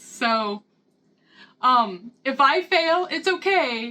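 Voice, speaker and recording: A woman with a Midwestern accent talks in a high, bright, sharp voice that is raised and projected. Her intonation is lively and her tone animated. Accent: Midwestern rural, self-described hick. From US Midwest, Missouri. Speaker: lifestyle vlogger. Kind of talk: casual vlog talk, book review and cooking tutorial. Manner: chatty, animated.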